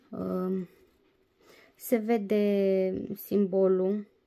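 Faint background noise is present. The voice belongs to a woman. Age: 30s. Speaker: diamond painting vlogger. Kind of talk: casual vlog review; casual vlog chat. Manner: hesitant, many fillers. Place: home room. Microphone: phone near.

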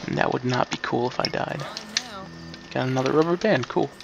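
Quiet and at medium pitch, a man speaks with ordinary pitch variation over noticeable background noise. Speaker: gaming let's player. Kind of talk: game commentary. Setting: at home at night, mom asleep. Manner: quiet, holding back volume.

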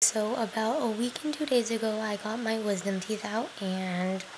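A woman's fairly even intonation comes through despite noticeable background noise. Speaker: vlogger. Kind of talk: casual vlog chat. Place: home room. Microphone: webcam.

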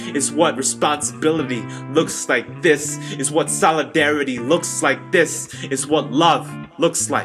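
Clear music plays behind a man who talks at a fairly slow pace, his fairly high voice keeping a fairly even intonation. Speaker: spoken word poet. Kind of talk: spoken word poetry performance.

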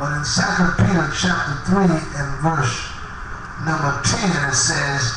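A man speaks with ordinary pitch variation, with strong room echo and noticeable background noise. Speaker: Apostolic preacher. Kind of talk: tent revival sermon. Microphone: handheld.

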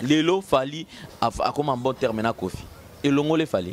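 A man speaks at a fairly quick pace. The sound is dry with no echo, over light background noise. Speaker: video channel host. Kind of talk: casual chat. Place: street. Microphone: handheld.

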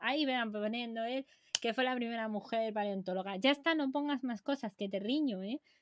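Over light background noise, a woman talks in a high voice with ordinary pitch variation. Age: 20s. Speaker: science streamer. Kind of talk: casual live stream chat. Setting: live stream. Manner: animated. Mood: playful, chatty. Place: home room. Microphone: webcam.

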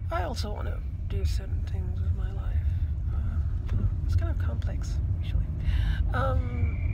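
Loud background noise surrounds speech delivered at a moderate pace. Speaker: vlogger. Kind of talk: personal reflective vlog talk. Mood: low, introspective, sad. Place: car. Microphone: phone near.

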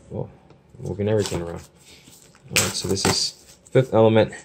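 Noticeable background noise sits behind a man who speaks with an American accent and fairly even intonation. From US Midwest (Chicago). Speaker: YouTuber, movie collector; YouTuber. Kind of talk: casual unboxing video. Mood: relaxed, appreciative. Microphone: phone near.

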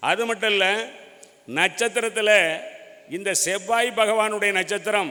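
Over noticeable background noise, a high-pitched man uses a raised, projected voice in a monotone, flat delivery. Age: 60s. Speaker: astrologer. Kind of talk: debate speech.

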